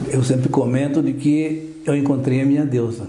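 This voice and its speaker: With audible room echo around him, a man of fairly high pitch speaks at a fairly slow pace with fairly even intonation. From southern Brazil, Porto União. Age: 70s. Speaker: orthopedic doctor. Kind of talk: radio interview.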